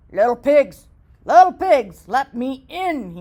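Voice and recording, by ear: A put-on character voice, high in pitch and growling, moves at a fairly slow pace.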